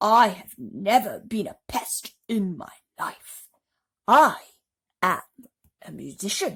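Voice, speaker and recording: Put-on character voice from a woman, fairly high in pitch and fairly slow, with long, frequent pauses and big swings in loudness. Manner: slow, scornful.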